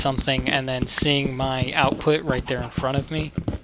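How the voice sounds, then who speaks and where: Noticeable background noise sits behind this man's voice. He speaks at a medium pitch with flat, monotone intonation. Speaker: gaming YouTuber. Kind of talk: casual talk to camera.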